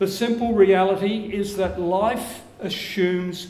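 A man talks at a slow pace with a slightly mellow tone, his voice carrying a strong room echo.

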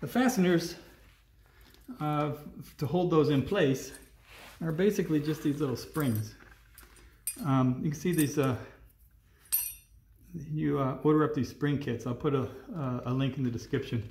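At a moderate pace, a man talks with ordinary pitch variation and long, frequent pauses, with audible room echo and light background noise. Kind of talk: tutorial. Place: garage. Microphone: phone near.

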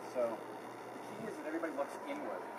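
A man is speaking. Loud background noise is heard behind him. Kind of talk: work briefing instructions. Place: open country. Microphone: camera far.

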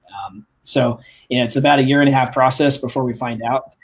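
With a normal speaking voice, this man keeps his medium pitch in fairly even intonation. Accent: American. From Kansas (Wichita). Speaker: aerospace engineer. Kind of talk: interview. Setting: video call.

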